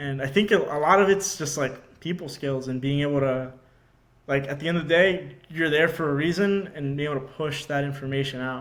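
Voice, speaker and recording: Audible room echo surrounds a man who talks fairly quickly at a fairly high pitch with ordinary pitch variation. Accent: American. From Georgia, US. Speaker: marine intelligence officer. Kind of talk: casual chat.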